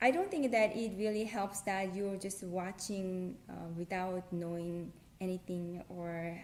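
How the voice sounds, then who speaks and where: With a Korean accent, a woman speaks fairly slowly at a medium pitch, her intonation fairly even. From South Korea. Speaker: language tutorial creator. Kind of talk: casual talk to camera.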